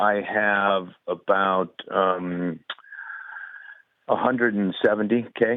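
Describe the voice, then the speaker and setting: Pausing long and often, a man speaks at a very slow pace with fairly even intonation. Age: 60s. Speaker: caller. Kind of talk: call-in question. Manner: halting, many fillers.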